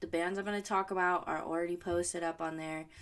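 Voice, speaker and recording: Using a plain, everyday voice, a woman talks at a medium pitch, her pitch varying in an ordinary way. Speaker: podcast host. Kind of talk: casual solo podcast chat.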